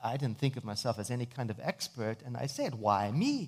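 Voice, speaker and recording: On a very clean recording with a silent background, a man speaks at a moderate pace. He sounds somewhat breathy, and his intonation is lively. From South Africa. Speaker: minister and author. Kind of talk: sermon.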